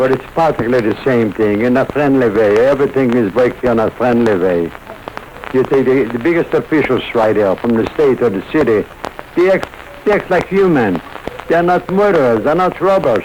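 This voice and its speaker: A man with medium pitch talks at a moderate pace, his pitch swinging very widely while his loudness stays very even, over noticeable background noise. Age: 80s+. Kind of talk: interview answer. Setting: radio broadcast recording.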